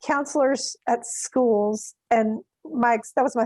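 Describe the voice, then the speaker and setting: A woman with a Mississippi accent speaks in a fairly high voice with fairly even intonation. The sound is dry and close, with no echo. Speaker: counselor. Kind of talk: interview.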